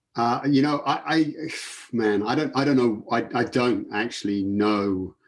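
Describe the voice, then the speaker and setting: Speaking fairly slowly with an English accent, a man holds a medium pitch, ordinary pitch variation, and very even loudness. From England. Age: 50s. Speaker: sports photographer. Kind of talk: casual interview.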